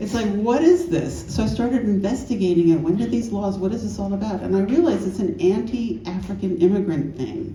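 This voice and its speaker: Amid noticeable background noise and audible room echo, a woman with an American accent talks at a fairly quick pace in an animated tone with lively intonation. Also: medium pitch for a woman, hardly any pauses. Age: 60s. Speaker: author and AIDS historian. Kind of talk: panel discussion.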